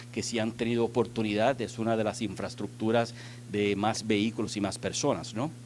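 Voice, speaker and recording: A man of medium pitch with a non-native accent, at a moderate pace. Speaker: transport technology executive. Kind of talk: conference panel talk. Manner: halting, many fillers.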